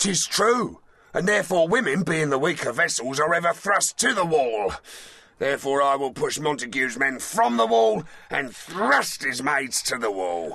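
The pace is moderate. The voice moves in very wide pitch swings. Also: man, fairly high pitch for a man. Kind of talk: Shakespearean stage verse. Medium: audio drama. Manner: boastful, bawdy, aggressive.

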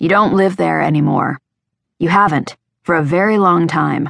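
A woman uses a put-on character voice that is raspy and fairly low. Her loudness stays very even, and the sound is dry and close with no echo. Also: moderate pace, ordinary pitch variation. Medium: read story. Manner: worried, matter-of-fact.

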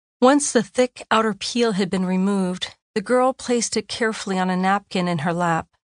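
A woman talks in an ordinary speaking voice at a medium pitch with ordinary pitch variation and hardly any pauses. The sound is dry and close with no echo, over a quiet background. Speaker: audiobook narrator and chaplain author. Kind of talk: dramatic audiobook narration, reflective essay read aloud in a hushed, reverent tone. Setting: studio. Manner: slow, hushed and wondering, with suspenseful pauses and rising awe; intimate, lyrical and measured, savoring each image.

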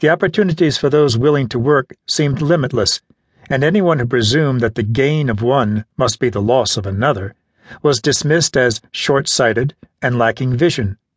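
With a dry, close sound and no echo, a man speaks at a moderate pace and medium pitch, somewhat breathy, with ordinary pitch variation. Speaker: audiobook narrator. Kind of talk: audiobook narration of nonfiction, read aloud in a measured, literary style. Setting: studio. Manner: measured, even and formal; earnest, steady pacing with a lecturing tone.

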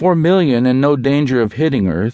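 A man's dramatic tone at medium pitch, set against a quiet background. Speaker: audiobook narrator. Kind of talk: audiobook narration of a sci-fi thriller. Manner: dramatic, suspenseful, measured storytelling pace.

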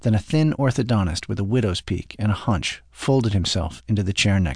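The clip features a natural reading voice.

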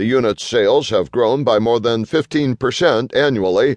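A man in a plain, everyday voice talks at a moderate pace with ordinary pitch variation over a quiet background. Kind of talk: audiobook narration of a business magazine article. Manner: formal, even-paced, steady.

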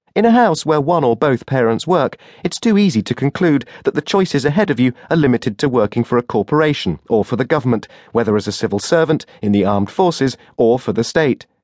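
A man's warm-toned voice at a very fast pace, with very even loudness and a dry, close sound without echo. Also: medium pitch for a man. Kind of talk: audiobook narration, first-person memoir read aloud. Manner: measured, warm, conversational storytelling with dry humor.

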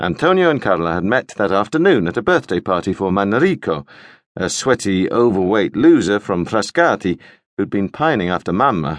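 A plain, everyday voice moves at a moderate pace with lively intonation. The sound is dry and close with no echo, over a quiet background. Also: man. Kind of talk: scripted audiobook narration, first-person comic memoir voice.

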